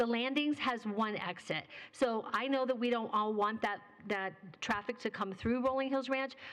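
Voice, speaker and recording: A woman speaks at a fairly high pitch and a moderate pace, with ordinary pitch variation. Her loudness stays very even over noticeable background noise. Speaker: town council member. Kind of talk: public meeting discussion.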